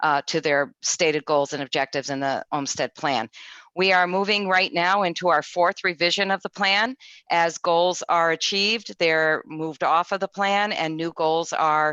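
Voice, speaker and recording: A woman with a New England accent speaks at a moderate pace in a fairly low, bright and sharp voice with ordinary pitch variation. The sound is dry and close with no echo, over a quiet background. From Connecticut. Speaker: state government official. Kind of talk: panel presentation.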